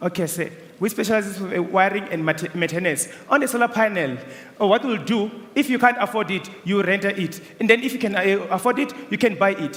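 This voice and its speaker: Over noticeable background noise, a man with a non-native accent and a high pitch speaks at a fairly quick pace. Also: ordinary pitch variation. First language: not English. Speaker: student business pitcher. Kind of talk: business pitch and Q&A.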